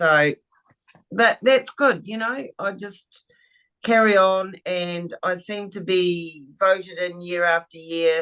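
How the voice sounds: Speaking slowly, a woman has a fairly low pitch and a fairly bright tone.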